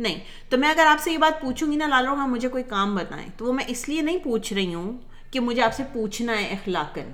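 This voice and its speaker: A woman's high-pitched voice with lively intonation and a slight Punjabi accent. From Pakistan, Karachi. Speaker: podcast host. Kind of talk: casual chat.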